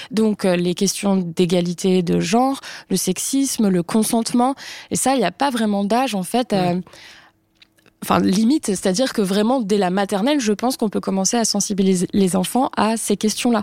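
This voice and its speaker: A woman's medium-pitched voice, dark and mellow, in a very clean recording with a silent background and a dry, close sound free of echo. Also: ordinary pitch variation, moderate pace, very even loudness. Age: 30s. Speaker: journalist and author. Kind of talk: panel discussion.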